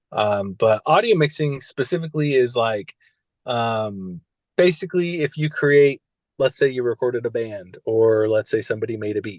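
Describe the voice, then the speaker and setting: A man with a Californian accent is recorded with a dry, close sound and no echo. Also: medium pitch for a man, lively intonation, moderate pace. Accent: Californian American. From California, Central Valley. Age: 30s. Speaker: music engineer and soul coach. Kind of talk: casual interview chat. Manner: many fillers and restarts.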